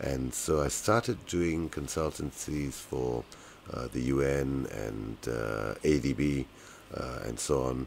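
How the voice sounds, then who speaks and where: In a British accent, a man speaks very slowly at a very deep, low pitch with ordinary pitch variation. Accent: British-sounding. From Malaysia. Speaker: economist. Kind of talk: interview. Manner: hesitant, many fillers.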